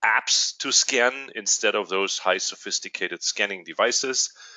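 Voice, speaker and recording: A man with a German accent, at a fairly slow pace. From Germany. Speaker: company executive. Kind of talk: webinar presentation. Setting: online webinar. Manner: hesitant, many fillers.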